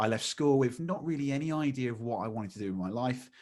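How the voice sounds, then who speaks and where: This man talks at a very fast pace in an East Midlands accent, his pitch medium with ordinary variation. The recording is very clean, with a silent background. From England, Lincolnshire. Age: 30s. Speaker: magician and speaker. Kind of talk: podcast interview.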